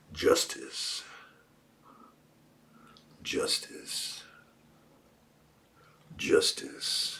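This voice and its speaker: Raspy and extremely high-pitched, a man performs a put-on character voice. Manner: slow, emphatic.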